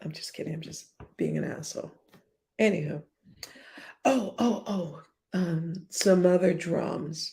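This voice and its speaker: Slow-paced and somewhat breathy, a woman with a fairly low pitch and a dark, mellow tone speaks with ordinary pitch variation, long, frequent pauses and big swings in loudness. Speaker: live streamer. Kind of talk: casual live stream chat.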